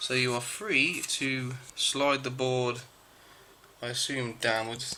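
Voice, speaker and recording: Amid noticeable background noise, a man mumbles with fairly even intonation. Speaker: amateur electronics repairer. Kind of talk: DIY repair tutorial. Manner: mumbling, hesitant.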